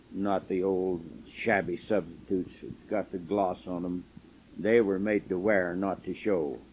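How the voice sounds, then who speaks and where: A very deep, low male voice at a fairly slow pace, with fairly even intonation. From southern Utah, US. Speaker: elderly man recording his life story. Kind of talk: oral history memoir. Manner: halting with fillers.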